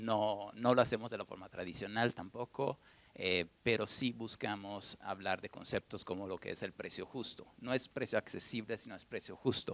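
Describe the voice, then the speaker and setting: A man at a fairly low pitch and moderate pace, with fairly even intonation, hardly any pauses and big swings in loudness, in a dry, close sound with no echo. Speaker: furniture brand director, economist. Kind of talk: panel talk. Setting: stage with audience at museum event. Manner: soft-spoken.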